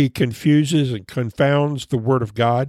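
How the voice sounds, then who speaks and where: Speaking with an American accent, a man with a fairly high pitch talks at a fairly slow pace in a dry, close sound with no echo. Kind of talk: personal storytelling about childhood; solo podcast devotional, preacher-style Bible teaching on moral decline. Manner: slightly halting, repeating words; earnest, measured homiletic delivery.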